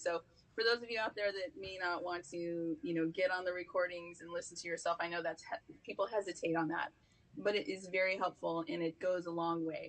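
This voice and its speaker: With an American accent, a woman has an unremarkable speaking voice at a medium pitch, talking at a fairly quick pace with ordinary pitch variation. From United States. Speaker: communication speaker. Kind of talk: interview.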